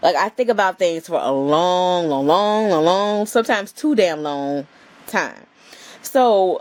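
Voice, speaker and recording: A woman speaks with lively intonation. Her pitch is fairly low. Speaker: lifestyle vlogger and photographer. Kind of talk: casual vlog chat. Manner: slow.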